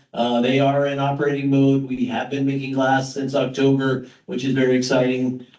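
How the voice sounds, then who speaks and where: Monotone, flat delivery with hardly any pauses and audible room echo. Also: man, medium pitch for a man. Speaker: project presenter at public meeting. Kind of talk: technical presentation at public meeting. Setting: hybrid public meeting with live audience. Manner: fast.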